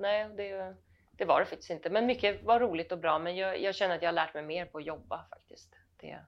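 A woman speaks at a fairly quick pace in an unremarkable speaking voice, medium-pitched, with ordinary pitch variation. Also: big swings in loudness. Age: middle-aged. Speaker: actress. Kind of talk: casual chat. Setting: at home.

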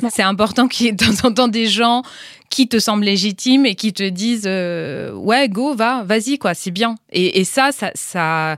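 A woman's fairly high voice with ordinary pitch variation, in a very clean recording with a silent background. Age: 40s. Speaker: entrepreneur, founder of a women's intimate health platform. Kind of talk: interview. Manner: halting.

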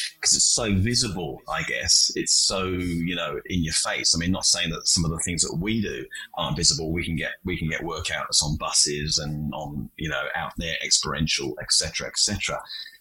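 A man speaking with hardly any pauses over noticeable background noise. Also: moderate pace. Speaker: podcast host. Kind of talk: interview. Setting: remote call.

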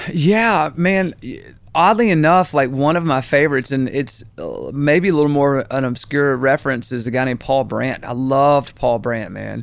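Fairly high-pitched man with a Southern US accent, lively intonation and a moderate pace. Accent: Southern US (Georgia). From US South, Augusta, Georgia. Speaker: country songwriter and producer. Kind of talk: interview, casual chat. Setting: studio. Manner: casual, animated.

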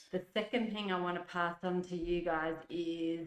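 A woman speaks with an Australian accent at a fairly slow pace. Her pitch is fairly low, and her intonation fairly even. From Adelaide, South Australia. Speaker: nurse and mother of the host. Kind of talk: casual interview chat.

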